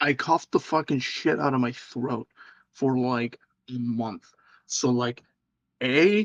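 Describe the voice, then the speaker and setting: A man speaks at a very slow pace with long, frequent pauses, using a medium pitch and ordinary pitch variation. The sound is dry and close, with no echo. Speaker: vtuber streamer. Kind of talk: casual chat. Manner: halting.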